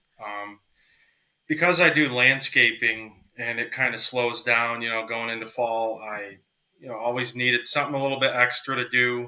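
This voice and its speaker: A man with an American accent speaks at a moderate pace with a bright, sharp tone, fairly even intonation and big swings in loudness. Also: medium pitch for a man. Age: 30s. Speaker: hunting guide. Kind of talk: casual interview.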